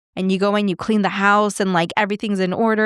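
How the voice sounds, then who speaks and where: Dry and close with no echo, a woman at medium pitch speaks in a very clean recording with a silent background. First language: not English. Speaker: podcast host and life coach. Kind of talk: casual monologue. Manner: conversational.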